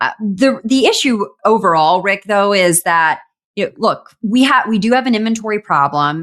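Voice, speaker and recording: With an American accent, a woman speaks at a moderate pace and fairly high pitch, her intonation lively and her loudness very even. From US South. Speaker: e-commerce news show co-host. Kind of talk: casual chat.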